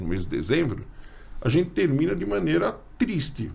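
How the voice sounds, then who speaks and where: Very wide pitch swings in a somewhat breathy male voice. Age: 60s. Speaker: teacher and podcast host. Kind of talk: casual chat.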